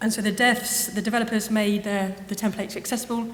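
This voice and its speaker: Flat, monotone speech from a woman at medium pitch, in an English accent, with audible room echo and noticeable background noise. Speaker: university web content producer. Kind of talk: conference lightning talk. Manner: fast; soft-spoken.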